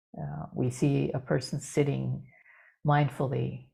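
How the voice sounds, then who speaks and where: A soft-spoken woman. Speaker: dharma teacher. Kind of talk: dharma talk. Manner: halting. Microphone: too quiet.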